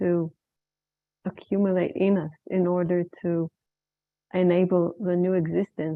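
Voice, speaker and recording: The speaker has an Israeli accent and talks at a fairly slow pace. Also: woman. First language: Hebrew. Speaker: women's circle facilitator. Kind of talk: facilitated circle sharing.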